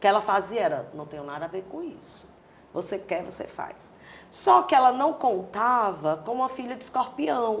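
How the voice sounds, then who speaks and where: Speaking at a moderate pace in a Cearense accent, the voice makes very wide pitch swings and big swings in loudness. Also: woman, medium pitch for a woman. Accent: Cearense Brazilian Portuguese. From Brazil, Ceará (Fortaleza). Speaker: dancer and choreographer. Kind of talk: interview.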